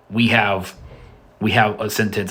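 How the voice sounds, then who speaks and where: There's audible room echo around a man's voice. He speaks at a fairly quick pace. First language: not Spanish. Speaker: language video creator. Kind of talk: educational monologue. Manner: halting, many repetitions and fillers.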